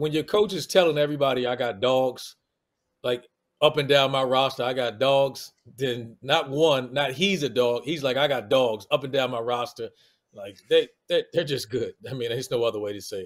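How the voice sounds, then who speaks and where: A man speaks in a DC area accent. His pitch varies in an ordinary way. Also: medium pitch for a man, moderate pace. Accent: DC-area American. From Washington DC area. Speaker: college basketball analyst, former player. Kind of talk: casual sports banter.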